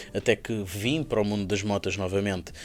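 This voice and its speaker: With a Lisbon accent, a man of fairly low pitch speaks at a moderate pace amid noticeable background noise. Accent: European Portuguese, Lisbon. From Portugal. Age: 30s. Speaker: motorcycle dealership founder. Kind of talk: podcast interview. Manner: hesitant, many fillers and repetitions.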